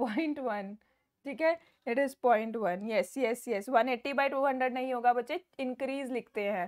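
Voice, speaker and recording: At a fairly slow pace, a woman speaks in a high pitch with ordinary pitch variation against a quiet background. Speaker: online biology teacher. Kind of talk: online class lecture. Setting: live online class. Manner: loud.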